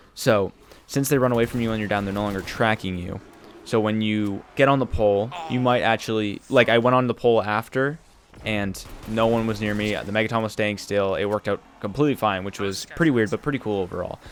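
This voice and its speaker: Quietly, a man speaks at a fairly quick pace. His voice is fairly low, with fairly even intonation. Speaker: gaming youtuber. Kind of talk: tutorial voiceover. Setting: at home late at night. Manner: casual.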